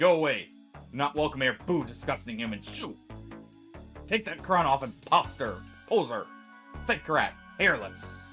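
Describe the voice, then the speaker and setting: Over clear music in the background, a man does a shrill put-on character voice at a medium pitch and moderate pace, leaving long, frequent pauses. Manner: hostile, shouting.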